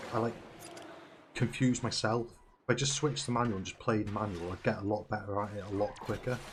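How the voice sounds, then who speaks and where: A man talks at a fairly quick pace. His pitch is fairly low and his voice somewhat breathy. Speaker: gaming streamer. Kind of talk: gameplay commentary. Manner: animated.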